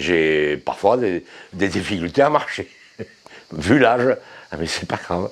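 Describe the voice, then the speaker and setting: A man's voice with very wide pitch swings in a very clean recording against a silent background. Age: 80s+. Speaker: resident of a shelter for isolated men. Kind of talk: documentary interview.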